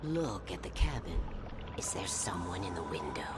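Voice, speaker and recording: A man uses a cartoonish character voice, very deep and low in pitch. He talks at a moderate pace over loud background noise. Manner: coaxing, insinuating.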